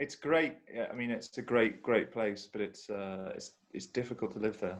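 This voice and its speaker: A man is speaking at a medium pitch. His pitch varies in an ordinary way. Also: moderate pace. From southern England (London, then south coast). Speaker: synth module developer. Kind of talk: casual chat. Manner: halting.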